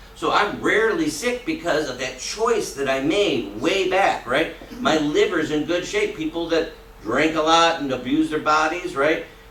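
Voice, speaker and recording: Amid noticeable background noise and audible room echo, a man talks at a fairly slow pace and a fairly high pitch. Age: 60s. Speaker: character education teacher. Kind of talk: classroom talk. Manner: conversational, frequent tag questions.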